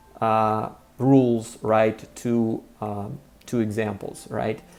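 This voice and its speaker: Music plays in the background as a man speaks with a Russian accent. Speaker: language teacher. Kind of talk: tutorial. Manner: many filler words.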